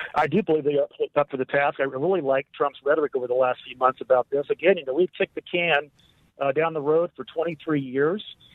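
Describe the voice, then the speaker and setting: This man's pitch is fairly high and his pace fairly quick. His intonation stays fairly even. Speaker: retired military officer. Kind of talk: radio interview. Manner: halting.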